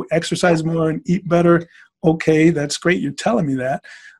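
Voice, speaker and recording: A man with an American accent has an unremarkable speaking voice. His pitch is fairly high, his intonation fairly even, and his pace moderate. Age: 50s. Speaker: former football player, diabetes patient. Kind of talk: interview testimony.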